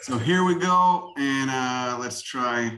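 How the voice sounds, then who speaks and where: An American man speaks in a fairly high pitch with lively intonation. Light background noise sits behind him. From Chicago. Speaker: self-taught botanist and plant video maker. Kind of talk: lecture. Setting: video call. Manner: casual and profane. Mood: enthusiastic, casual, swearing. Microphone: video call.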